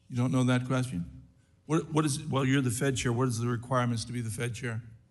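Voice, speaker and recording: Audible room echo surrounds a man who speaks at a very fast pace and medium pitch. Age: 60s. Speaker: congressman. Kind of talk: congressional hearing questioning. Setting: committee hearing room. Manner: animated.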